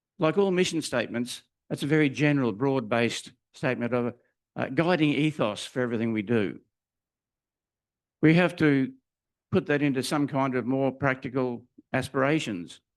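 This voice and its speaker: With an Australian accent, a man speaks at a moderate pace and ordinary pitch variation. Long, frequent pauses break up his speech. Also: medium pitch for a man, quiet background. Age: 80s+. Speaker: retired teacher and minister preaching at church. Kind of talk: sermon. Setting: church.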